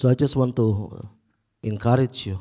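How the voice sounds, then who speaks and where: A man speaks in an Indonesian accent with a dark, mellow tone. His pace is moderate, his intonation fairly even, and the background quiet. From Indonesia, Makassar. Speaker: pastor. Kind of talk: testimony. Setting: church. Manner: halting. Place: church. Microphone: handheld.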